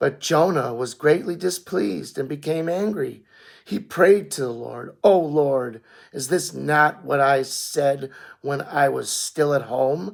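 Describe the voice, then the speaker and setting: Putting on a raspy character voice, a man speaks fairly slowly with a fairly high pitch and lively intonation. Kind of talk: scripture reading. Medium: read story. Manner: measured, reverent.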